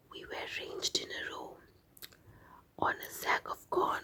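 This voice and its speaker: The speaker, a woman, whispers. Her delivery is fairly slow. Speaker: ASMR artist. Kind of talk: reading aloud. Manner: soft-spoken; slow, calm.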